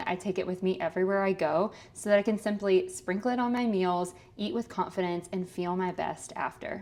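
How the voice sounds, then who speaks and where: Speaking at a fairly quick pace, a woman uses an unremarkable speaking voice at medium pitch with fairly even intonation. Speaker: registered dietitian and podcast host. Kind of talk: podcast ad read.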